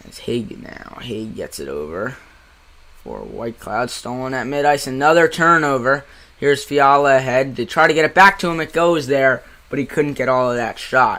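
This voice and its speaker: A man's animated, medium-pitched voice with a New Jersey accent, a bright, sharp tone, ordinary pitch variation, big swings in loudness and a moderate pace. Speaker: amateur hockey play-by-play streamer. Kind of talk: live commentary. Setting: live stream.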